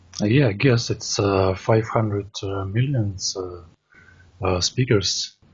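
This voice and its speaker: A man speaks at a very slow pace. His voice is somewhat breathy. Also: fairly low pitch for a man, ordinary pitch variation. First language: Russian. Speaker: language learner. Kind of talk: casual conversation practice. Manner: halting, many fillers.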